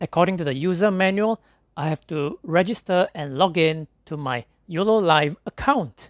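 Delivered at a fairly slow pace with long, frequent pauses, the speech has a dry, close sound with no echo. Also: man.

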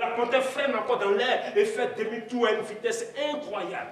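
Very wide pitch swings at a moderate pace, with audible room echo and light background noise. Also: man. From Ivory Coast. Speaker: storyteller. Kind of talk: live storytelling performance. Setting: stage. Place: hall.

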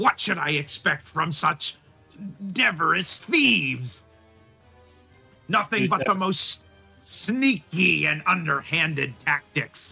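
Over faint background music, a man in a put-on character voice talks at a fairly slow pace with a fairly high pitch, leaving long, frequent pauses. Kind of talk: theatrical, archaic heroic speech. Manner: pompous, formal, then apologetic.

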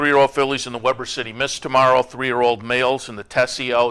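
A man talks at a fairly quick pace with a bright, sharp tone. His intonation stays monotone and flat. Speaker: racing show host. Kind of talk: broadcast host commentary. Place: studio. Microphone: lapel.

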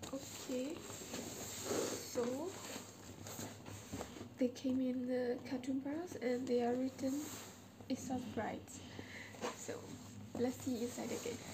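A woman speaks at a very slow pace over noticeable background noise. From Myanmar. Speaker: first-time vlogger. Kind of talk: casual talk to camera. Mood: shy, excited. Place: home room. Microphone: camera far.

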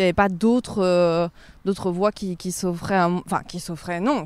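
A woman speaks at a moderate pace, recorded very cleanly against a silent background. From Provence, southern France. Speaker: journalist. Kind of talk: casual interview. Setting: outdoors, walking in a park. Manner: calm.

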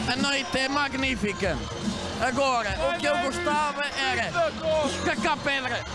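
With music in the background and a dry sound free of echo, a man speaks at a fairly slow pace with ordinary pitch variation. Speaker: interviewee. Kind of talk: interview answer, playful banter. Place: street. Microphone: handheld.

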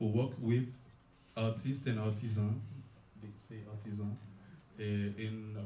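A man with a dark, mellow tone and fairly low pitch speaks in a monotone, flat delivery, somewhat breathy, with long, frequent pauses. Room echo is audible and there is light background noise. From Haiti. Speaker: cultural festival organizer. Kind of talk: panel discussion. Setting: stage with audience. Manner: halting. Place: hall. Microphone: camera far.

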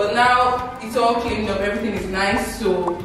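A woman talks at a moderate pace. Clear music plays behind her, and there is strong room echo. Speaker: vlogger. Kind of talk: casual vlog chat. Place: home room. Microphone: camera far.

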